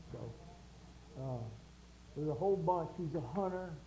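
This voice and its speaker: The speaker is a man with an American accent. Room echo can be heard. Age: 70s. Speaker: show host. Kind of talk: casual chat.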